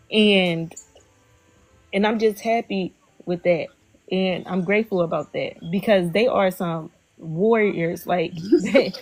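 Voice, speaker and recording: A woman's medium-pitched voice at a very slow pace, fairly even in intonation, with long, frequent pauses and music in the background. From Philadelphia, US. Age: 20s. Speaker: livestream host. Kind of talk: casual interview chat. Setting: livestream.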